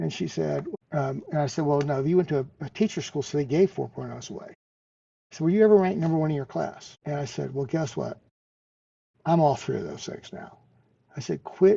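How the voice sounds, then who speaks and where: A man speaks at a moderate pace in a fairly high pitch. His voice is somewhat breathy, with ordinary pitch variation. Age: 70s. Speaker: veteran and cancer survivor. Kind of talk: podcast interview, personal storytelling. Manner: repetitive, stammering starts.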